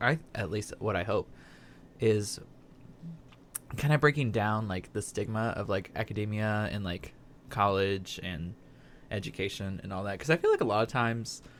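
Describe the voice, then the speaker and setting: A man with an American accent speaks at a moderate pace in a fairly low voice with ordinary pitch variation. He takes long, frequent pauses. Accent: slight Southern, stronger when stressed. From Southern Indiana. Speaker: podcast host. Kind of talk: casual chat.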